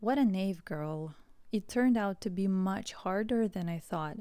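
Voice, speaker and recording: A woman with a Russian accent has a medium pitch and a dark, mellow tone on a very clean recording with a silent background. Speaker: English teacher. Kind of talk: scripted narration. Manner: slow.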